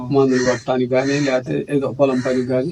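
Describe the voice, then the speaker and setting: A man talks at a medium pitch with a dark, mellow tone and fairly even intonation. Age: 70s. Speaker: farmer. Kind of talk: interview answer.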